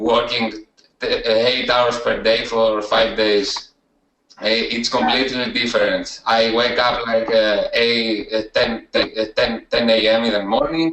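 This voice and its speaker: Someone with a Greek accent speaks at a fairly slow pace. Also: man. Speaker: student success story, email marketer. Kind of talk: interview testimony. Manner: halting, many hesitations.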